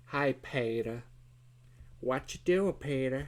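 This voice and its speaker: Putting on a nasal character voice, a man speaks at medium pitch and a fairly slow pace. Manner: exaggerated.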